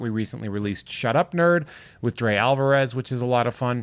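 Using an unremarkable speaking voice, a man keeps a fairly quick pace at medium pitch, his pitch varying in an ordinary way. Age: 40s. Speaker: podcast co-host, comedian. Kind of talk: casual chat. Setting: video call.

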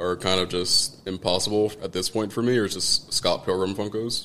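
With an unremarkable speaking voice, a man speaks at a fairly low pitch and a fairly even intonation. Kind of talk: casual chat.

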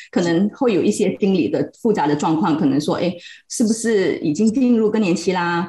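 A woman talks at a fairly quick pace and medium pitch. Her pitch swings very widely. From Malaysia, Pahang. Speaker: psychological counselor. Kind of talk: casual chat.

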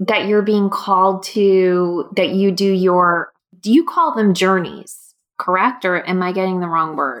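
A woman speaks at a medium pitch and a fairly slow pace. Hers is an unremarkable speaking voice. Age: 40s. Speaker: podcast host. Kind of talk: casual interview chat. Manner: excited, warm.

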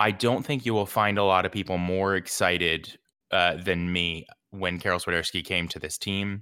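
A man with a very deep, low pitch and a bright, sharp tone speaks at a moderate pace. His intonation is fairly even, and the recording is very clean with a silent background. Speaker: soccer podcast host. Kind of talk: casual post-match discussion.

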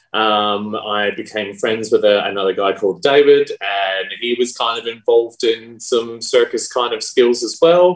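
With an Australian accent, a man speaks at a moderate pace, his medium pitch showing ordinary variation. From South Australia. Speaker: pole dancer and performer. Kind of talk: casual interview.

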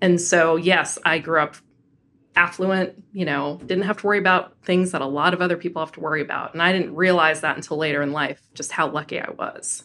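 In a General American accent, a woman with a fairly low pitch and a bright, sharp tone speaks at a fairly quick pace with fairly even intonation. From Colorado, Denver. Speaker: diversity and inclusion executive. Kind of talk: interview.

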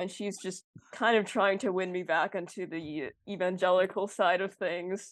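A woman's unremarkable speaking voice with an American accent, at a moderate pace over a quiet background. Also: medium pitch for a woman, fairly even intonation. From Minnesota, Twin Cities suburbs. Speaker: university student. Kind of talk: casual chat.

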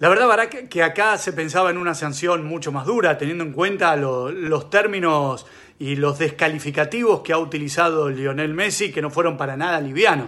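Speaking at a moderate pace with hardly any pauses, a man with a Rioplatense accent has a fairly high pitch, ordinary pitch variation, and a bright, sharp tone. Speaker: sports reporter. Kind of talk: news report.

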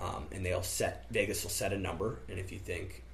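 Audible room echo and noticeable background noise surround the recording. The speaker is a man with an American accent. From US Midwest (central Illinois). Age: 20s. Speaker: college student. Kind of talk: casual chat.

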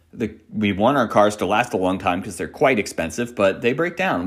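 A man's unremarkable speaking voice, fairly low in pitch, with lively intonation. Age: 40s. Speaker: meditation teacher. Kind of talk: dharma talk.

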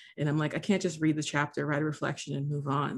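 With a General American accent, a woman speaks in a very deep, low voice with vocal fry and ordinary pitch variation. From US, Haitian American. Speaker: theology student and former pastor. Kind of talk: casual conversation.

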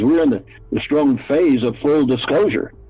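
Lively intonation from a fairly high-pitched man at a moderate pace, with noticeable background noise around him. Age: 70s. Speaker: guest witness. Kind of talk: casual interview.

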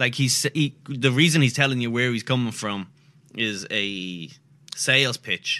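A man talks with an Irish accent. His tone is bright and sharp, at a medium pitch. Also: ordinary pitch variation, fairly slow pace. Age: 30s. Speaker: comedian. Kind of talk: casual chat.

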